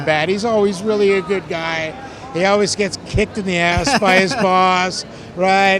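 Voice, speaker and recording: Against noticeable background noise, a man talks at a moderate pace with a high pitch and fairly even intonation. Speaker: voice actor. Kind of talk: interview answer. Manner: casual, chatty.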